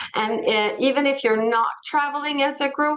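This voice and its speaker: At a fairly slow pace, a woman speaks with a French accent over a quiet background. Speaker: tour company president. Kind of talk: presentation.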